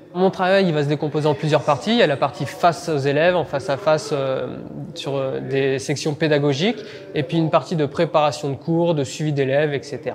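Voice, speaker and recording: The speech moves at a fairly quick pace with ordinary pitch variation. Music plays in the background. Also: man, fairly high pitch for a man. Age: 30s. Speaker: vocational teacher, baker by training. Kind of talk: interview testimony. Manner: halting, frequent hesitations.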